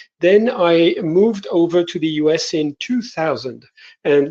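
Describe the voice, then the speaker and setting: A man with a French accent speaks in a high-pitched voice with a dark, mellow tone. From France. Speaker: innovation consultant. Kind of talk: panel presentation. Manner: hesitant, many filler words.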